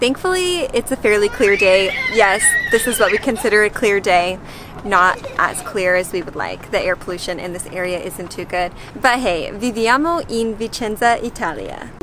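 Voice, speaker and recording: A woman with an American accent speaks at a moderate pace with lively intonation. Her pitch is fairly high, and there is noticeable background noise. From United States. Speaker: family travel vlogger. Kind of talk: casual vlog talk.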